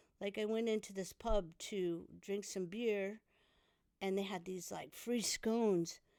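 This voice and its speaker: Speaking fairly slowly with an American accent, a woman has a dark, mellow tone at medium pitch on a very clean recording with a silent background. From California. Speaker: punk guitarist. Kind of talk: casual chat. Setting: in-person studio. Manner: animated.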